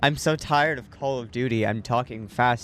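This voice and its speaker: Music plays behind a man whose medium pitch shows ordinary variation. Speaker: gaming streamer. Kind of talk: rant. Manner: fast.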